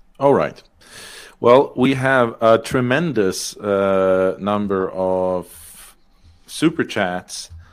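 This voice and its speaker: Very slow speech from a man with a Danish accent, medium pitch and ordinary pitch variation, on a very clean recording with a silent background. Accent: Danish-sounding. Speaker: debate moderator. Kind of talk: moderating debate.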